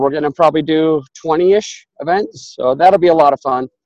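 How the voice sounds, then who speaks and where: A man with a fairly high pitch speaks in a normal speaking voice, at a moderate pace and with fairly even intonation. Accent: American. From Utah. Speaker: apartment investor. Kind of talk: interview.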